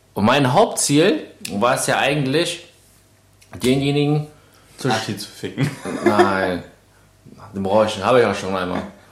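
Audible room echo surrounds a man speaking at a fairly slow pace with long, frequent pauses. His medium-pitched voice has lively intonation. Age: 20s. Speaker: bodybuilder and podcast host. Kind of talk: casual chat.

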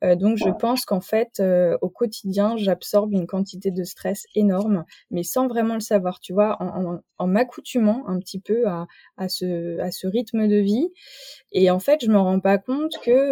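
A woman speaks at a fairly slow pace in a dark, mellow tone, the sound dry and close with no echo. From rural France. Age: 30s. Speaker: naturopath and entrepreneur. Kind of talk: interview. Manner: hesitant, many fillers.

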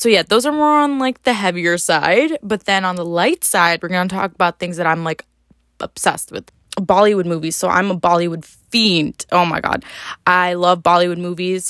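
A woman with an American accent at medium pitch, with ordinary pitch variation, a moderate pace, and a dry, close sound with no echo. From upstate New York. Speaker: podcast host. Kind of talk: casual solo monologue.

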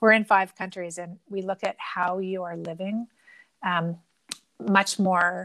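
In an ordinary speaking voice with a Canadian accent, a woman of medium pitch talks at a fairly slow pace with fairly even intonation. The recording is very clean with a silent background and a dry, close sound with no echo. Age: 50s. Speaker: entrepreneur. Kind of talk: interview.

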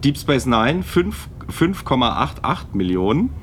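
A man speaks at a medium pitch with very wide swings in his intonation. Noticeable noise sits in the background. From Palatinate, Germany. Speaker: podcast co-host. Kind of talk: casual chat.

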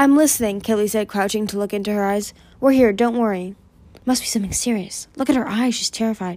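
The reading comes across in a natural voice.

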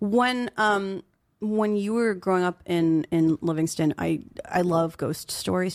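A woman's unremarkable speaking voice at fairly low pitch, with ordinary pitch variation, in a very clean recording over a silent background. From New Jersey, Flemington. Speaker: podcast host. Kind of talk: casual interview chat.

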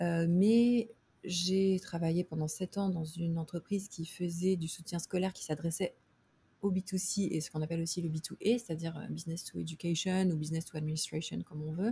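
Somewhat breathy and dark, mellow in tone, this woman's voice sits at a fairly low pitch. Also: fairly even intonation, moderate pace. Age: 30s. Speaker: startup founder. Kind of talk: interview. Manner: halting.

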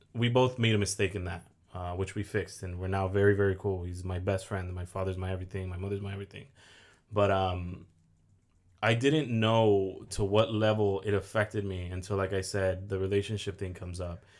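A man with a plain, everyday voice and an American accent speaks at a fairly quick pace with fairly low pitch. His intonation is fairly even, and the recording is very clean with a silent background. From Oxnard, California. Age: 20s. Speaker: mortgage lender and content creator. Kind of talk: casual interview chat. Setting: studio, sitting across host.

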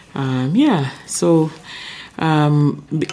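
Noticeable background noise runs through the clip. A woman talks with fairly even intonation. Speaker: chief medical officer, preventive medicine doctor. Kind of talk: casual interview.

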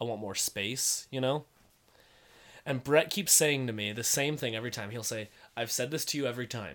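A man's normal speaking voice, medium in pitch with ordinary pitch variation, at a fairly quick pace. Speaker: podcast co-host. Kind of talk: casual chat.

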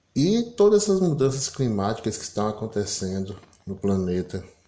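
Somewhat breathy and dark, mellow in tone, the voice moves at a moderate pace with ordinary pitch variation and big swings in loudness. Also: man, fairly low pitch for a man. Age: 50s. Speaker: political commentator. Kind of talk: solo commentary monologue.

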